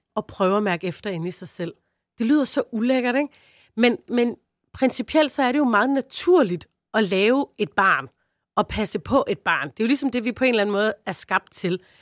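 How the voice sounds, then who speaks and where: In an unremarkable speaking voice, a woman talks at a moderate pace with a fairly high pitch and lively intonation, on a very clean recording with a silent background and a dry, close sound with no echo. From Southern Jutland, Denmark. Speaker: comedian. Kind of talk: casual chat.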